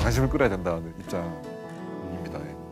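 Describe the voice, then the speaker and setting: With music in the background, a man speaks with very wide pitch swings. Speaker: webtoon artist. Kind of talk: TV talk show discussion.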